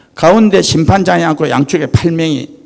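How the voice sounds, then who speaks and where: In a Gyeongsang accent, a man speaks at a fairly slow pace. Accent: Gyeongsang dialect Korean. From Gyeongsang region, South Korea. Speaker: company chairman, guest lecturer. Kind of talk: lecture. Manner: animated.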